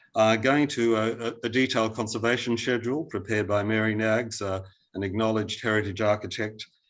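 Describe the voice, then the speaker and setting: A man with an Australian accent speaks at medium pitch in a monotone, flat intonation against a quiet background. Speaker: heritage consultant. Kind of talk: planning panel submission. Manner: hesitant, many fillers.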